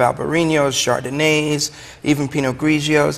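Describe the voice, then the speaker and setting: Noticeable background noise sits behind a man speaking in a fairly high pitch with an American accent. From Brooklyn, New York. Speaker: wine shop owner. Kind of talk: TV talk show interview.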